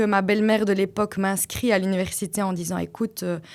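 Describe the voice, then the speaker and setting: A woman with a Liège accent at medium pitch and moderate pace, on a very clean recording with a silent background. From Belgium, Flanders (Liège-area French). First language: Dutch (speaking French). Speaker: podcast guest, mother, former teacher. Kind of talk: personal testimony in interview. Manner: hesitant, many fillers.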